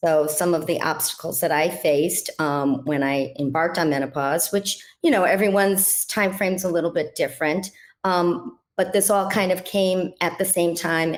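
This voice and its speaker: A woman with a plain, everyday voice, fairly low in pitch, speaks at a moderate pace with ordinary pitch variation and very even loudness in a very clean recording with a silent background. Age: 60s. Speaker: health coach, former dental hygienist. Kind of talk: interview.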